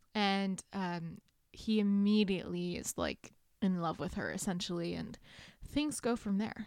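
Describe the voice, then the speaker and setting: A woman uses a normal speaking voice at medium pitch, talking at a fairly slow pace with ordinary pitch variation. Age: 20s. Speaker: book podcast co-host. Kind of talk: casual chat.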